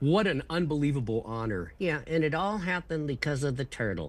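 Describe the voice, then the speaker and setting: Fairly quick, fairly high-pitched speech from a man with an unremarkable speaking voice and lively intonation. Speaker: ventriloquist and comedian. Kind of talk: interview answer. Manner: casual, chatty.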